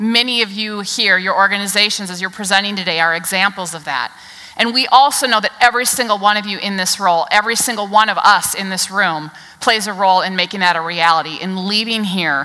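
Ordinary pitch variation marks a woman's speech at a very fast pace. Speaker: keynote speaker. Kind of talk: keynote speech. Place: stage.

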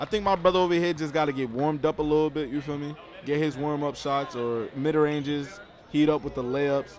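Over noticeable background noise, a man speaks at a fairly high pitch and a fairly quick pace. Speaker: sports commentator. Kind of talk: live sports commentary, reacting to a basketball game. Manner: animated, casual, talking to the audience.

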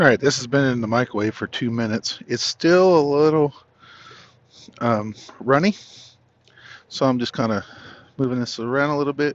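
A man talks at a moderate pace with long, frequent pauses. The sound is dry, with no echo. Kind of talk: casual cooking tutorial. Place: car. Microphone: phone near.

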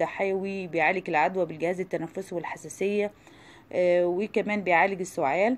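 A woman speaks in an Egyptian accent with fairly low pitch. Her intonation stays fairly even. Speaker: cooking YouTuber. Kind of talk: informational talk.

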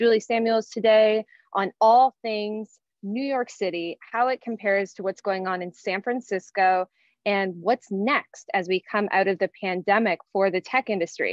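A woman at a moderate pace with fairly even intonation, over a quiet background. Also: dry sound with no echo. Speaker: webinar host. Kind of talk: event host introduction. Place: home room. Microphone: webcam.

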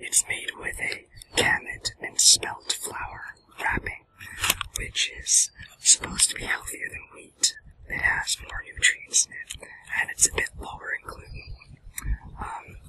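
A man is whispering at a fairly slow pace. He leaves long, frequent pauses. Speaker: food vlogger. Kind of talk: casual vlog chat. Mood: relaxed, cheerful. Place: forest.

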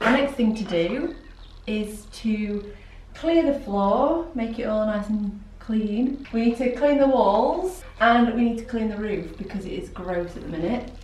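A woman's fairly high voice with lively intonation at a fairly slow pace, plus audible room echo. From South Yorkshire / North Lincolnshire border, England. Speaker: photographer and artist. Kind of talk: casual vlog talk to camera. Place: workshop.

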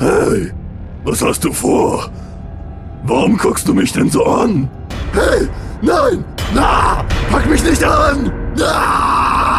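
A man shouting in a cartoonish character voice at a very slow pace, over loud background noise. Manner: gloating and theatrical, then panicky.

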